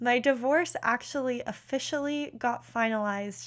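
The recording is very clean and the background silent. A woman talks at a moderate pace, varying her pitch in an ordinary way. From Pennsylvania, Philadelphia area. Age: 20s. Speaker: podcast host, career coach. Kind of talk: casual monologue. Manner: animated.

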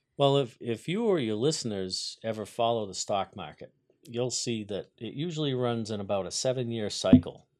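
This man has a normal speaking voice, medium in pitch, and talks at a moderate pace. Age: 50s. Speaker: carpenter, business owner. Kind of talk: interview. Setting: studio.

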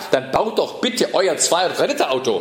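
Against noticeable background noise and audible room echo, a man speaks at a moderate pace. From southern Germany, Ravensburg (Swabia). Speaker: political scientist and transport expert. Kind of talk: lecture.

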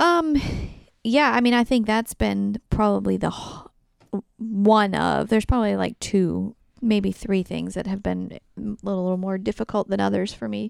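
A woman speaks quietly at a moderate pace, with a dry, close sound and no echo. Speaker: podcast co-host, host's wife. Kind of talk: casual chat. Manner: soft-spoken.

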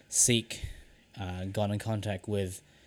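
Fairly low in pitch, a man speaks with a New Zealand accent at a moderate pace. His intonation is fairly even, and the recording is very clean with a silent background. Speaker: podcast co-host, lab technician. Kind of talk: casual chat.

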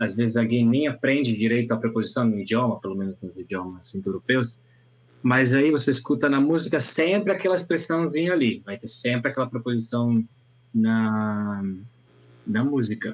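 This man talks at a moderate pace and a medium pitch. He has an ordinary speaking voice. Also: lively intonation. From northern Italy, Alps. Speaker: language teacher and conference interpreter. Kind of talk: casual chat.

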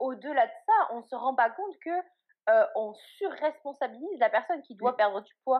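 Moderate pace, lively intonation and big swings in loudness. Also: woman, high pitch for a woman. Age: 20s. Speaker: blogger on eating disorders. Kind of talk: interview testimony.

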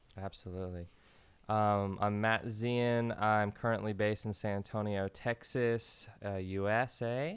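In a very clean recording with a silent background, a man talks at a fairly slow pace. His pitch is fairly low and his intonation monotone and flat. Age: 30s. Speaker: musician and DJ. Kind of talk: casual chat.

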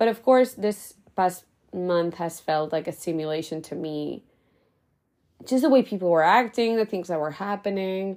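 In an unremarkable speaking voice, a woman at medium pitch talks at a moderate pace with ordinary pitch variation on a very clean recording with a silent background. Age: 20s. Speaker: podcast host; teacher. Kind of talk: solo monologue podcast. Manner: casual and chatty.

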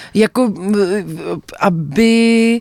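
A woman talks at a very slow pace with lively intonation, in a dry, close sound with no echo and noticeable background noise. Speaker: actress, documentary director and writer. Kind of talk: radio interview. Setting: radio studio.

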